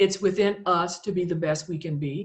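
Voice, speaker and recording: A woman with an ordinary speaking voice and an American accent talks at a fairly slow pace and medium pitch, with fairly even intonation. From US South, South Louisiana. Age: 60s. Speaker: author and health care administrator. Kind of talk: podcast interview, personal testimony.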